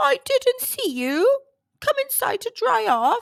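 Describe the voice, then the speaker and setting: Squeaky and extremely high in pitch, a woman's put-on character voice moves at a fairly slow pace. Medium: read story. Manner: warm, motherly.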